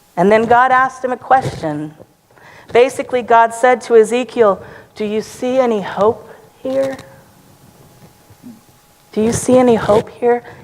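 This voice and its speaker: A woman with a high voice speaks at a moderate pace with ordinary pitch variation, leaving long, frequent pauses over noticeable background noise. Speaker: preacher, church sermon speaker. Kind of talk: sermon delivered to a congregation.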